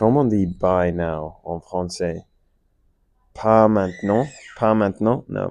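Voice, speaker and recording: Against a quiet background, a man with an English accent talks in a fairly low pitch with ordinary pitch variation. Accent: English-speaking learner of French. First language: English (speaking French). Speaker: French learner vlogger. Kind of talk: casual monologue. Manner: halting, many fillers.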